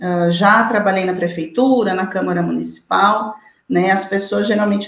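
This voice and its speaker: In a plain, everyday voice, a woman talks at a moderate pace with medium pitch and fairly even intonation. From Brazil, interior of São Paulo state (Araraquara). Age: 40s. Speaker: lawyer and social media commentator. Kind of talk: interview.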